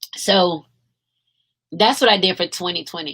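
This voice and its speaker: Raspy put-on character voice from a woman, medium in pitch with ordinary pitch variation, at a moderate pace. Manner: yawning, drowsy.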